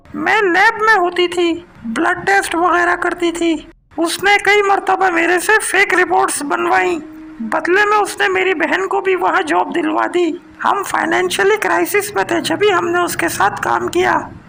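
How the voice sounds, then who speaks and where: A woman performs a cartoonish character voice at an extremely high pitch, her loudness very even. She keeps a moderate pace over clear background noise. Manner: defiant, hot-tempered.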